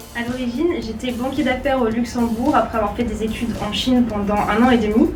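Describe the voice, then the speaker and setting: In a room with audible echo and music in the background, a woman talks at a fairly quick pace in a high pitch with monotone, flat intonation. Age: 20s. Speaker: genealogist and entrepreneur. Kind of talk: interview testimony.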